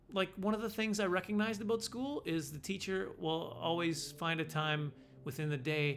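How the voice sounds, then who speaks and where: Over noticeable background noise, a man speaks with a fairly high pitch. His intonation is lively and his pace moderate. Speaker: comedian. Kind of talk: casual storytelling monologue. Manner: stutter.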